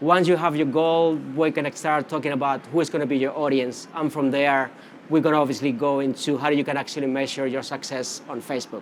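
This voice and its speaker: The speech runs at a fairly quick pace in a monotone, flat delivery with a Spanish accent. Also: man, fairly high pitch for a man. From Canary Islands, Spain. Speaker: social media marketing specialist. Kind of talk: conference presentation. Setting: conference stage with audience. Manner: casual, many fillers.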